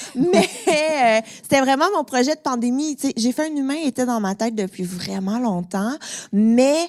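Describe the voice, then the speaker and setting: With a Quebec accent, a woman speaks at a high pitch and a fairly slow pace with lively intonation, the sound dry and close with no echo. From Quebec, Montreal. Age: 30s. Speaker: podcast host and comedian. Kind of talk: casual chat before a live audience. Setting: stage with audience.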